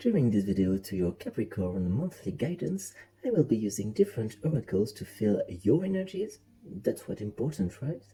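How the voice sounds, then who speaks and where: The speech moves at a fairly quick pace in a French accent. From France. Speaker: tarot reader. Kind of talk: tarot reading monologue. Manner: casual, hesitant with fillers.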